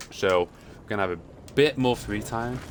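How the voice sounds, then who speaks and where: A man talks in an animated tone with lively intonation while noticeable background noise carries on. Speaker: game streamer and caster. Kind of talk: live stream commentary. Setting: live stream. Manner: casual, animated.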